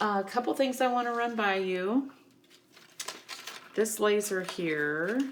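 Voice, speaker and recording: A woman speaks with ordinary pitch variation and long, frequent pauses. Noticeable background noise runs through the clip. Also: medium pitch for a woman. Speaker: craft tutorial presenter. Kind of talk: tutorial. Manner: casual, many fillers.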